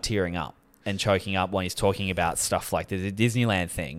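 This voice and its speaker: A man with an Australian accent at a very fast pace, in a very clean recording over a silent background. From Australia, Sydney. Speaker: podcast co-host, comedian. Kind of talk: casual chat.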